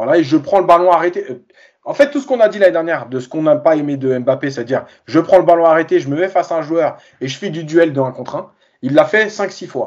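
Lively intonation carries words delivered at a very fast pace. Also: man, high pitch for a man. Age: 40s. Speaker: football coach and reporter. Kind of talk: casual chat.

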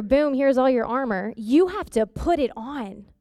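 The speaker has an animated, upbeat tone and a moderate pace, recorded very cleanly against a silent background. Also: woman. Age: 30s. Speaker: campus missionary. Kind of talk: guest sermon to a church congregation. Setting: church service with live congregation. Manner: earnest, warm and emphatic, addressing the congregation directly; animated and upbeat.

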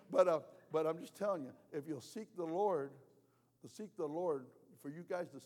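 A man talks at a very fast pace in a fairly high pitch. His tone is dark and mellow. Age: 70s. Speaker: travelling prophet and preacher. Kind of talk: sermon. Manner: animated.

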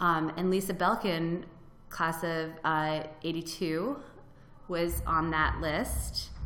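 A woman with an American accent, fairly low in pitch, bright and sharp in tone, with vocal fry, fairly even intonation, a very slow pace and audible room echo. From Florida. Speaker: freelance writer and blogger. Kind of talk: interview. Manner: casual, with many fillers.

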